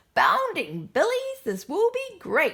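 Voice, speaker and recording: In a put-on character voice, a woman talks at a fairly slow pace with an extremely high pitch. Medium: read story.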